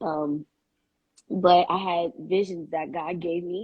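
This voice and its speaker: This woman has an unremarkable speaking voice at a fairly low pitch. Her intonation is fairly even. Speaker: singer. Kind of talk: casual chat.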